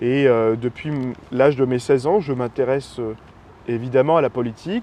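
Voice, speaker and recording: At a moderate pace, a man talks with fairly even intonation at a medium pitch. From northern France, Roubaix area. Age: 20s. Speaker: political candidate. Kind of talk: interview. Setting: outdoors in a park. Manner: hesitant, many fillers.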